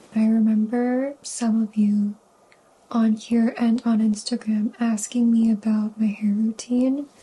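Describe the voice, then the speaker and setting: A woman whispers at a fairly slow pace, somewhat breathy, her loudness very even throughout. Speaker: lifestyle vlogger. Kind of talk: casual vlog narration. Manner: whispering; soft-spoken.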